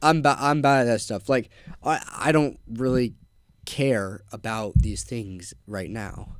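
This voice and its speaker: With an ordinary speaking voice, a man talks at a medium pitch and fairly slow pace, using ordinary pitch variation. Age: young. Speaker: young entrepreneur, window cleaning business owner. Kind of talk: casual chat. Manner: casual, filler-heavy.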